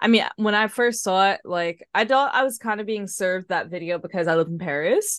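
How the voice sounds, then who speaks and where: A woman with a New York accent, medium pitch and ordinary pitch variation, at a fairly quick pace with hardly any pauses, against a quiet background. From New York City, Harlem. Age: 30s. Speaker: floral designer and artist. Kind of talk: casual interview chat.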